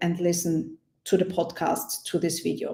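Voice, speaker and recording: A woman speaks with a non-native accent in a dark, mellow tone. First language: not English. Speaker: project management coach. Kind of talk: webinar product walkthrough. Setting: online webinar. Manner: not fast; hesitant, many fillers.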